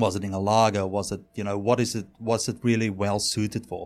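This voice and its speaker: A man talks in a South African accent. His pace is moderate. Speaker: head brewer. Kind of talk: casual interview. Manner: animated.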